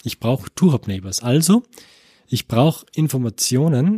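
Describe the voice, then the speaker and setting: In a dark, mellow tone with lively intonation, the voice moves at a very slow pace on a very clean, dry, close recording with a silent background and no echo. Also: man. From Austria, Tyrol. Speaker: computer science professor. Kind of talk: interview. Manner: many filler sounds, repeats words.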